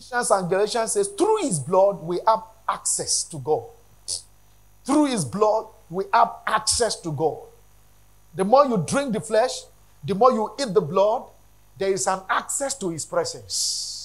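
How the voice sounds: With big pitch swings, a man speaks at a high pitch. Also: fairly slow pace.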